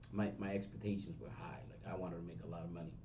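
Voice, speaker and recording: A man with a strong Spanish accent at a very fast pace, with audible room echo. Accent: big Spanish. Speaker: real estate agent and trainer. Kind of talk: seminar talk. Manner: halting, with false starts.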